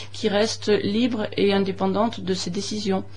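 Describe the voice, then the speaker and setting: Noticeable background noise and audible room echo surround a woman's voice. She speaks at a medium pitch and a fairly slow pace with monotone, flat intonation. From Lyon, France. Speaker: election candidate. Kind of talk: radio interview. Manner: hesitant, many fillers.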